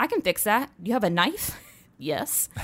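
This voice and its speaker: Using an animated tone, a woman with an American accent speaks at a moderate pace. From US South, North Carolina. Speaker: product strategist at a tech company. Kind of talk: casual interview chat.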